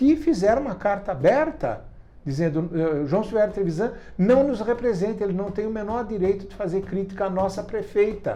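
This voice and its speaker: A man's voice with a dark, mellow tone. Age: 70s. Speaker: writer and activist. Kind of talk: interview. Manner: hesitant, with repetitions and fillers.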